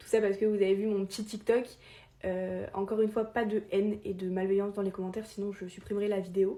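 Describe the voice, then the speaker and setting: This woman has a medium pitch and a dark, mellow tone. She speaks fairly quickly with monotone, flat intonation. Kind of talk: informal explainer video. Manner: fast; hesitant, many filler sounds.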